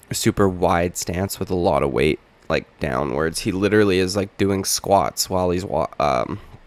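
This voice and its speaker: A man talks with a very deep, low pitch and vocal fry. The sound is dry and close, with no echo. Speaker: MMA commentator. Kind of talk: casual commentary monologue. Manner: animated.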